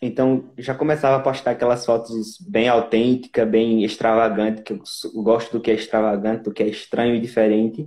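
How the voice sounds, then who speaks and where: A man with a northeastern Brazilian accent, medium in pitch and dark, mellow in tone, with monotone, flat intonation, a fairly quick pace and hardly any pauses. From Brazil, Northeast (Pernambuco). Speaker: singer and actor. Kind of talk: interview. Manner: halting.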